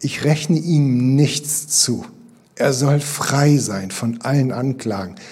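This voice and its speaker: Pitched fairly high, a man speaks at a very slow pace with ordinary pitch variation in a dark, mellow, somewhat breathy tone. Audible room echo surrounds his voice. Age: 50s. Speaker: pastor. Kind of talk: sermon. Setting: church.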